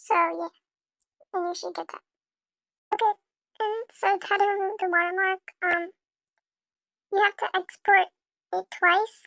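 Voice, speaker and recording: Raised and projected, a woman's extremely high voice stays flat and monotone at a moderate pace, with a bright, sharp tone, big swings in loudness, and long, frequent pauses. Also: dry, close sound with no echo. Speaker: video editing tutorial creator. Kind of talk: tutorial. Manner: halting, many fillers; casual.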